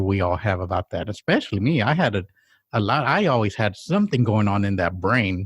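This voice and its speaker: On a very clean recording with a silent background and a dry, close sound with no echo, a man speaks at a fairly quick pace, somewhat breathy, his pitch swinging very widely. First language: Spanish. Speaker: podcast co-host. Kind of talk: casual chat.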